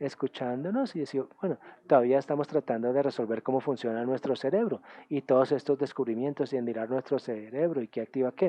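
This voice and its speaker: A man talks at a fairly quick pace with ordinary pitch variation. He has a German accent. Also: medium pitch for a man. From Germany. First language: German (speaking Spanish). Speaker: UN official and academic speaker. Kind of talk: conference talk. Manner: halting, with filler sounds.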